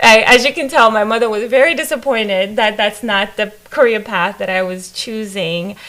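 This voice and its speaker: A woman speaks at a moderate pace with hardly any pauses, her pitch fairly high and its variation ordinary. Noticeable background noise runs under her voice. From Africa. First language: not English. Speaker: staff development director. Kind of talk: interview.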